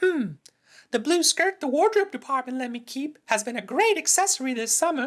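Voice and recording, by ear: This cartoonish character voice belongs to a man who speaks at a moderate pace in an extremely high pitch.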